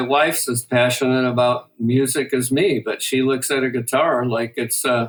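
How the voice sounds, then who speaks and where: At a moderate pace, a man with a Midwestern accent speaks in a medium pitch. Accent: American Midwestern. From US Midwest, Detroit. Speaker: guitar maker, product developer. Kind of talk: interview.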